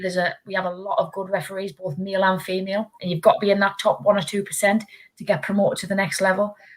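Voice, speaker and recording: A woman talks very fast with hardly any pauses. Her pitch is medium, with ordinary pitch variation. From northeast England. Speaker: football referee. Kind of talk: panel interview. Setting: webinar video call.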